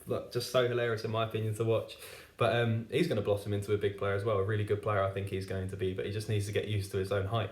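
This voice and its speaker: A man speaks at a very fast pace in a fairly low, somewhat breathy voice. His intonation is flat and monotone. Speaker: football fan reviewer. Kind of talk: football match review monologue. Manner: halting, stutters with fillers.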